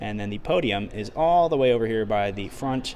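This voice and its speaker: A man speaks at a fairly low pitch with lively intonation. Audible room echo surrounds the voice. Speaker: robotics team member streamer. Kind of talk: live stream explanation. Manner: loud.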